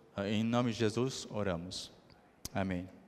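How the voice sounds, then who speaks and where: A man at medium pitch talks with fairly even intonation, his voice carrying audible room echo. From Brazil then Argentina from age ten. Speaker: missionary preacher. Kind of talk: sermon. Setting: church service. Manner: halting, many fillers.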